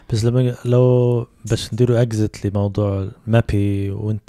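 Against a very clean recording with a silent background, a man with a Libyan accent and a fairly low pitch speaks in a dark, mellow tone with monotone, flat intonation and a dry, close sound with no echo. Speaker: podcast host. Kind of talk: casual chat. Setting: studio.

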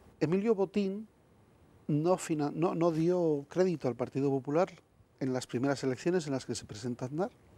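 The man's fairly high pitch has a dark, mellow tone, with lively intonation at a moderate pace and a dry sound with no echo. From Spain, Valladolid; Spain. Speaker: former government spokesman and author; former government spokesman. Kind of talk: TV interview. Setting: TV studio. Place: studio. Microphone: lapel.

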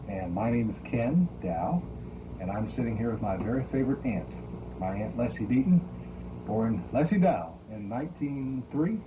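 Noticeable background noise under a man's fairly slow pace. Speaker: family interviewer. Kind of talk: oral history interview. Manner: halting. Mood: warm, relaxed. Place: home room. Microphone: old recording.

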